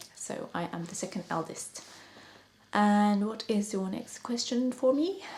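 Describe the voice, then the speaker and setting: A quiet, fairly slow delivery in a British accent. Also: woman, medium pitch for a woman, ordinary pitch variation. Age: 30s. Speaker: makeup artist and beauty vlogger. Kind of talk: casual chat. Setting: at home at night. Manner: speaks quietly to avoid waking her son.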